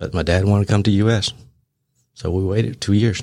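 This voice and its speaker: In a very clean recording with a silent background, a man with a Lao accent speaks at a moderate pace with a fairly low pitch and fairly even intonation. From Laos. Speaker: rifle manufacturer. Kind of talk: casual interview. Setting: studio.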